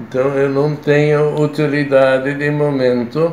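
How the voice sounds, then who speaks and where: A man speaks at a very slow pace with a fairly high pitch. Room echo is audible, and light background noise sits behind him. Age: 90s. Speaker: retired consultant and writer; interviewee. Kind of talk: interview. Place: home room. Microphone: phone near.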